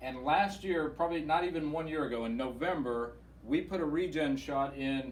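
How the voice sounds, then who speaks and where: This man has an unremarkable speaking voice, fairly high in pitch with ordinary pitch variation. He talks at a moderate pace. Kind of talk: patient testimonial interview host.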